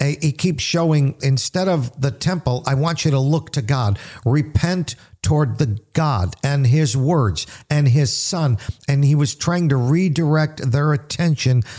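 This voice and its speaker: A man with an American accent speaks at a fairly slow pace in a fairly high, somewhat breathy voice with a dark, mellow tone, ordinary pitch variation and very even loudness, on a very clean recording with a silent background. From US Northeast, grew up in a Little Italy neighbourhood. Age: 60s. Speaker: pastor and radio host. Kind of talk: radio Bible teaching.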